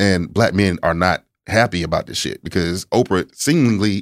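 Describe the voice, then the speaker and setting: A man with a plain, everyday voice talks at a fairly slow pace and fairly low pitch with lively intonation, in a dry, close sound with no echo and a very clean recording over a silent background. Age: 30s. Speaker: sex therapist. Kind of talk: casual chat. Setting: studio.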